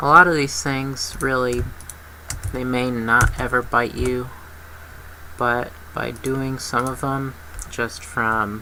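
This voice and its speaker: A very slow pace with long, frequent pauses, set against noticeable background noise. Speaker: 3D modeling tutorial maker. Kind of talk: tutorial. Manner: casual, with frequent fillers.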